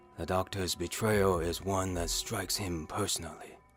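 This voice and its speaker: A man puts on a character voice with a very deep, low pitch. Clear background noise runs underneath. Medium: audio drama. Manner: formal, measured.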